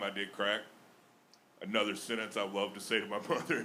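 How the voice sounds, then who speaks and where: A man talks in a Southern US accent at a fairly low pitch. His tone is bright and sharp. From Alabama. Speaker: stand-up comedian. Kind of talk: stand-up. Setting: stage with audience.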